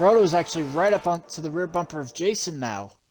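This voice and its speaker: A man talking at a very fast pace with music in the background. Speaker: sim racing play-by-play commentator. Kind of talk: live commentary.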